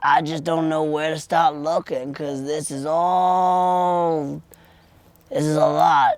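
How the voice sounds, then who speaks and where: A put-on character voice speaks at a fairly slow pace. Its intonation is monotone and flat. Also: man, fairly high pitch for a man. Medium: audio drama. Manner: rambling, folksy.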